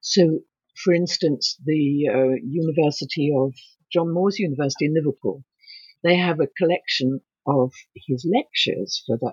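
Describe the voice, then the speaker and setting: A woman with an English accent talks at a moderate pace in a very deep, low pitch. Her pitch variation is ordinary. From England. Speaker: author and painter. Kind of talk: interview. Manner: halting.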